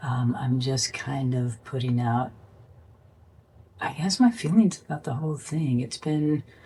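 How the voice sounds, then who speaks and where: At a fairly slow pace, the speaker talks in an American accent with long, frequent pauses. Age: 60s. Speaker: spiritual life vlogger. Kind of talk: personal vlog monologue. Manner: halting, many ums and restarts.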